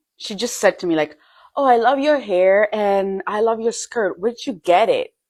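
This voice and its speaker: A woman with an Italian accent speaks at a fairly slow pace and a fairly high pitch, using very wide pitch swings. The recording is very clean, with a silent background. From Italy, Milan. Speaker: European expat in the US. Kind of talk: casual vlog.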